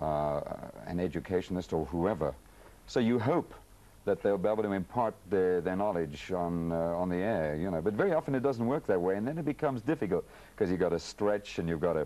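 A man's very deep, low voice at a fairly quick pace. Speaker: talk show guest, radio host. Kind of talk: interview answer. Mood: relaxed, good-humoured. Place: studio. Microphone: lapel.

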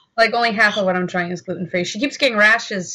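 Very fast and bright, sharp in tone, a woman speaks with ordinary pitch variation. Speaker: vlogger. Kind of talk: casual vlog chat. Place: home room. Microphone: webcam.

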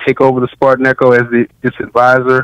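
An American accent at a fairly quick pace, dry and close with no echo, plus noticeable background noise. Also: man. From Washington, D.C. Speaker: professor and novelist. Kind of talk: interview.

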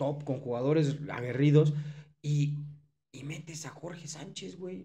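Against a quiet background, a man talks at a fairly high pitch with fairly even intonation. His dark, mellow tone is somewhat breathy. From Mexico. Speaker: sports podcast co-host. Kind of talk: casual chat. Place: studio. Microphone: studio mic.

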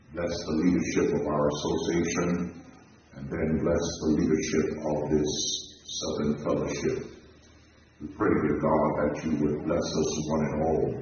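A man with a very deep, low voice speaks at a fairly slow pace in a monotone, flat intonation. Strong room echo and light background noise surround him. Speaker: minister leading prayer. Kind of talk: prayer. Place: church.

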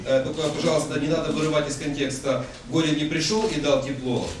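Through clear background noise, a man with fairly high pitch talks at a fast pace with fairly even intonation.

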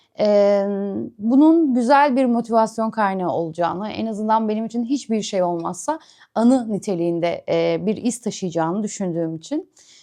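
Over a quiet background, a woman with a fairly high pitch speaks at a moderate pace in a dark, mellow tone with lively intonation. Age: 30s. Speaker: vlogger. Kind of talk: personal vlog monologue. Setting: at home, sitting on the floor. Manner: hesitant, many filler sounds.

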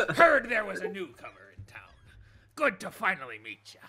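Using a put-on character voice, the speaker pitches fairly high and makes very wide pitch swings at a moderate pace. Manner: gruff, hearty.

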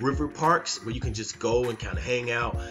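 A man speaks at a moderate pace. Music plays clearly in the background. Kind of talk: casual vlog chat. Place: home room.

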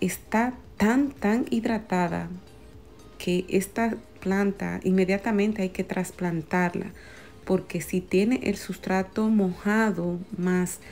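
Faint music plays in the background as a woman speaks very slowly. Her loudness stays very even, with ordinary pitch variation. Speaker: plant vlogger. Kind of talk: casual vlog commentary. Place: shop. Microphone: phone near.

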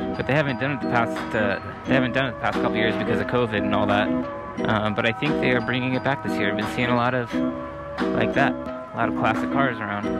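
A man talks at a very fast pace over loud music in the background. The sound is dry with no echo. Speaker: vlogger rider. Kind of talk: casual vlog chat. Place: motorbike. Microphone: camera far.

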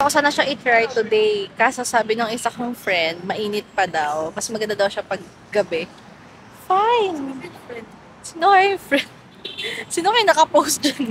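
A woman's voice swings very widely in pitch, its sound dry with no echo over light background noise. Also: fairly slow pace. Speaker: vlogger. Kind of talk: casual vlog chat. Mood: cheerful, laughing. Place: street. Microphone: phone near.

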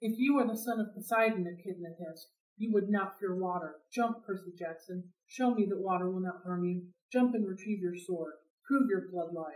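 In a put-on character voice, a woman speaks at a medium pitch and moderate pace, with hissing and audible echo. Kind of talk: read-aloud storytelling with character voices. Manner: hissing, taunting.

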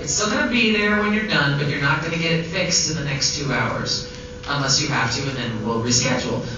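Amid noticeable background noise and strong room echo, a woman with a very deep, low pitch speaks at a fairly quick pace. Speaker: guest. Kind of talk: panel Q&A answer. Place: hall.

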